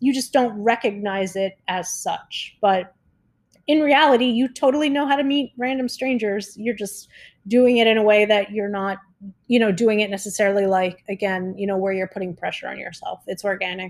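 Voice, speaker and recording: A woman in a plain, everyday voice with an American accent, fairly high in pitch, at a moderate pace with ordinary pitch variation, on a very clean recording with a silent background. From US, South Florida. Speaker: travel podcaster. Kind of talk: solo podcast monologue. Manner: casual, filler-heavy with frequent laughs.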